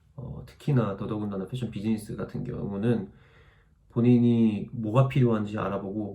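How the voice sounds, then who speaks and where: A man with a medium pitch and a dark, mellow tone speaks at a fairly quick pace, with vocal fry. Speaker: YouTuber, fashion student abroad. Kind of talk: Q&A vlog answering viewer comments. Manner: fast; casual, conversational.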